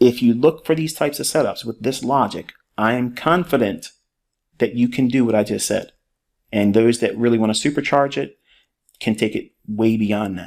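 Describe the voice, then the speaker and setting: A man with an ordinary speaking voice talks at a medium pitch with ordinary pitch variation, recorded very cleanly over a silent background. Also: moderate pace. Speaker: trading educator. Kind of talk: tutorial.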